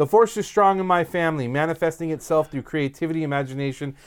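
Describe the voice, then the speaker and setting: A man with a normal speaking voice and fairly high pitch, in a very clean recording with a silent background. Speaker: YouTube Star Wars talk show co-host. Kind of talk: casual banter podcast chat. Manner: casual, joking, hedging filler.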